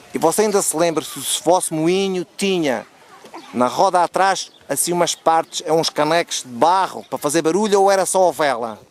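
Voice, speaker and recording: A man with a high-pitched voice speaks at a moderate pace with ordinary pitch variation, in a dry, close recording with no echo and noticeable background noise. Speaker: interviewer. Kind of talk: interview questions.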